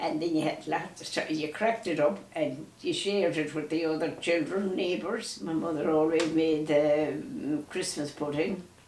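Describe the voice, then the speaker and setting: A woman with a western Irish accent, very deep and low in pitch, ordinary pitch variation, hardly any pauses, and noticeable background noise. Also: moderate pace. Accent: rural west of Ireland. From Ireland, County Mayo. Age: 90s. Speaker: elderly storyteller. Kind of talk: reminiscing conversation. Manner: halting.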